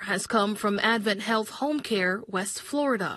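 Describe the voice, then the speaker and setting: A woman with an unremarkable speaking voice talks at a fairly slow pace. Her pitch is fairly high and varies in an ordinary way. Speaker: television news reporter. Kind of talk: news package voiceover.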